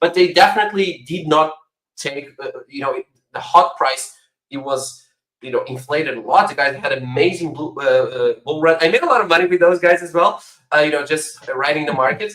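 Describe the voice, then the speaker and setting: Speaking with a non-native accent at a fairly quick pace, a man uses a high pitch and a bright, sharp tone, with ordinary pitch variation and big swings in loudness. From Portugal. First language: not English. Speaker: crypto project founder. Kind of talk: panel discussion.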